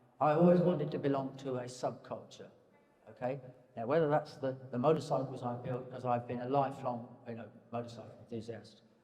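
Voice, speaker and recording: With an English accent, a man speaks at a fairly quick pace and medium pitch with fairly even intonation. Audible room echo and noticeable background noise are present. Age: 70s. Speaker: painter. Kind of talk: public conversation. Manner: halting.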